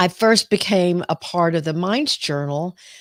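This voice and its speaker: On a very clean recording with a silent background and dry, close sound with no echo, a woman with a Southern US accent speaks at a fairly slow pace in a fairly low pitch. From US South. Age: 60s. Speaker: clinical psychologist. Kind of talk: live-stream talk. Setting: live video stream. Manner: hesitant, many fillers.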